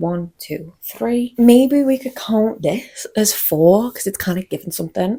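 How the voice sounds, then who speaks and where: A woman's dark, mellow voice in a Scouse accent, with very wide pitch swings at a moderate pace. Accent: mild Scouse (Wirral). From northern England, the Wirral (Merseyside). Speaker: fashion vlogger. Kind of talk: casual chat. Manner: animated.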